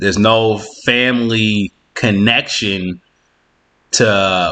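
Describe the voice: With fairly even intonation, a man speaks in a low pitch and a bright, sharp tone.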